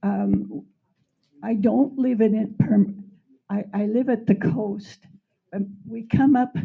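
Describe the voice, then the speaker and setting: A woman speaks at a very slow pace in a dark, mellow tone. Her voice is somewhat breathy. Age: 90s. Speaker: public commenter at county meeting. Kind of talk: public comment. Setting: community center meeting hall with microphone. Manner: halting, repeating words.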